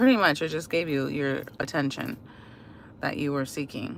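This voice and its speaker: A woman speaks with an American accent. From Washington DC, US. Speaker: livestreamer. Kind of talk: casual chat. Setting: live stream. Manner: hesitant, many fillers.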